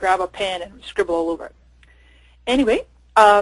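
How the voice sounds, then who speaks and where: A woman talks at a fairly quick pace in an excited tone. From Canada and Scotland. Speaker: social media marketing expert. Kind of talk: webinar presentation. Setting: online webinar. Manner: fast, excited.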